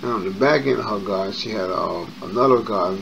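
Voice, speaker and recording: A man talks very fast in an American accent at a fairly low pitch with ordinary pitch variation. Both noticeable background noise and audible room echo can be heard. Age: 50s. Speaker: YouTuber. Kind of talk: personal storytelling monologue. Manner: casual, with many fillers.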